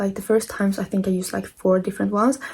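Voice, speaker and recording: This woman's voice sits fairly high and is somewhat breathy. Her tone is dark and mellow. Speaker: book content creator. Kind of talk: tutorial.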